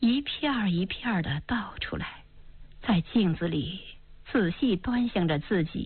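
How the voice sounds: The clip has a natural reading voice.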